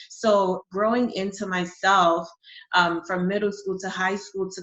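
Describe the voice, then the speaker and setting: A woman with a New York accent at a fairly slow pace. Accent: New York American English. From New York City, born in Honduras. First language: Spanish. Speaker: marketing and brand strategist. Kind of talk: interview.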